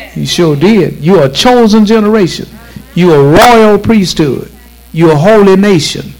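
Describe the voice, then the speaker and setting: Speech comes at a moderate pace with ordinary pitch variation. Music plays in the background. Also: man, high pitch for a man. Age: 70s. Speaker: bishop and radio preacher. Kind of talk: sermon. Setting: church. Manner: animated.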